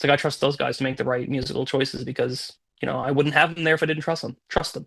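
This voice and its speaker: A man speaks at a very fast pace in a fairly high pitch, with vocal fry. His intonation is monotone and flat. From Newfoundland, Canada. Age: 30s. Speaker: musician. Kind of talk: interview.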